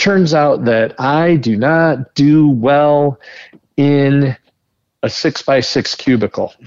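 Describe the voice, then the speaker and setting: This man speaks very slowly with an Upper Midwest accent, a fairly high pitch and very even loudness. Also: ordinary pitch variation. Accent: Upper Midwest American. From northern Michigan. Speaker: entrepreneur. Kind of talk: interview.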